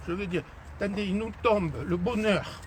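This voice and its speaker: The pitch of this man's voice is high. He speaks fairly slowly. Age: 70s. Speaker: mayor. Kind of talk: unscripted street conversation with residents.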